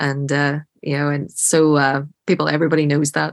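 A woman with an Irish accent speaks in a very deep, low voice. Her intonation is monotone and flat, and the recording is very clean with a silent background. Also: dry, close sound with no echo. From Ireland. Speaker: film director. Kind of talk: interview.

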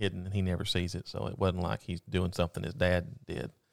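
A very deep, low male voice with vocal fry at a very fast pace, in a very clean recording over a silent background. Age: 40s. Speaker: podcast co-host. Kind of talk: casual chat. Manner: hesitant with fillers.

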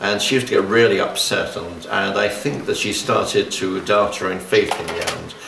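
A man talks at a moderate pace with hardly any pauses. Noticeable background noise runs underneath. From London. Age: 70s. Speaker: pagan exorcist. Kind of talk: interview. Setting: radio studio.

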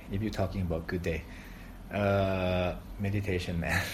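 Amid audible room echo, a man with a Thai accent speaks at a very deep, low pitch. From Thailand. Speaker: coconut water business founder. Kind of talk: casual interview.

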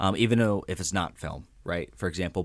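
Here a man has a normal speaking voice with a fairly low pitch and ordinary pitch variation. The recording is very clean with a silent background. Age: 20s. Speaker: university social media manager. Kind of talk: interview. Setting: studio.

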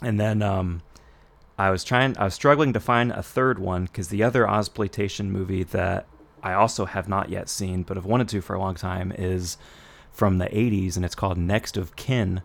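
The recording is very clean, with a silent background. A normal speaking voice moves at a moderate pace with fairly even intonation. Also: man, fairly low pitch for a man. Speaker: podcast host. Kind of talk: casual chat.

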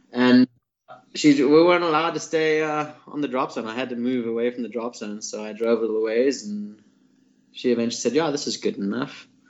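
At a fairly quick pace, a man with an unremarkable speaking voice talks at medium pitch with ordinary pitch variation. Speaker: skydiving drop zone owner. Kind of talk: casual chat.

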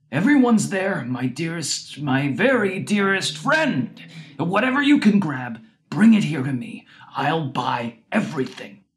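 A man puts on a character voice with a high pitch. He keeps a moderate pace. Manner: whining, imploring.

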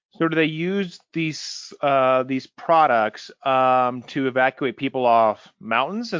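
This man has a normal speaking voice with an American accent and fairly high pitch. He talks at a fairly slow pace with ordinary pitch variation. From US Midwest, small town near St. Louis. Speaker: podcast host. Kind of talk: interview.

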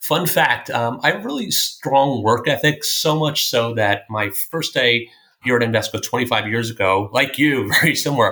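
In a plain, everyday voice, a man talks at a medium pitch and a moderate pace with ordinary pitch variation. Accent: American. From Long Island, New York. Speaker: portfolio manager. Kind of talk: interview.

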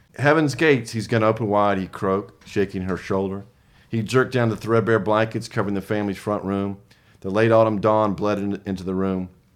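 Against a quiet background, a man speaks at a fairly quick pace. His fairly low voice keeps a fairly even intonation. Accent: Southern US. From US South. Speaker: small press co-founder and author. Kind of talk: casual interview chat.

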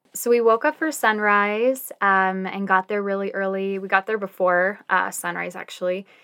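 Speaking at a moderate pace with hardly any pauses, this ordinary speaking voice has an American accent and ordinary pitch variation. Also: woman, medium pitch for a woman. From Utah. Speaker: marketing manager and photographer. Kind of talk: casual storytelling interview.

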